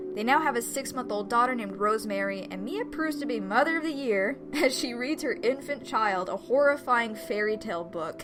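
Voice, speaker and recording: Noticeable background noise sits behind a woman talking. She goes at a fairly quick pace with hardly any pauses. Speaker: video game reviewer. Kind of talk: game review commentary. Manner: animated.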